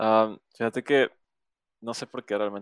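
A man speaks at a moderate pace with fairly even intonation. The sound is dry and close, with no echo. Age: 20s. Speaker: podcast host. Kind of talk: casual interview.

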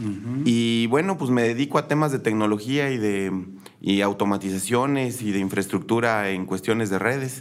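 A man speaks at a moderate pace in a normal speaking voice, his medium pitch showing ordinary variation. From Querétaro, Mexico. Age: 40s. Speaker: political candidate. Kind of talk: interview.

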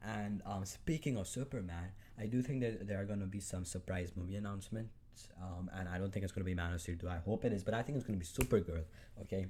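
A man with a non-native accent speaks very fast in a fairly low, dark, mellow voice that is somewhat breathy. His pitch varies in an ordinary way, and the recording is very clean with a silent background. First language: not English. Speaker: solo podcaster, comic film fan. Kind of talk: casual solo monologue. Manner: hesitant, many fillers.

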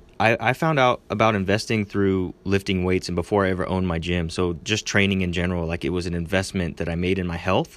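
A man with a fairly low pitch speaks in a normal speaking voice at a fairly quick pace on a very clean recording with a silent background. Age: 20s. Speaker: gym owner and podcast host. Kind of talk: casual solo advice talk. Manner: casual, filler-heavy.

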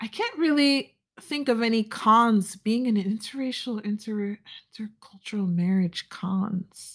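A woman with an American accent speaks at a fairly slow pace and fairly high pitch, somewhat breathy, with ordinary pitch variation. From US, Nigerian American family. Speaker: podcast host. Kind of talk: solo podcast monologue. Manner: expressive.

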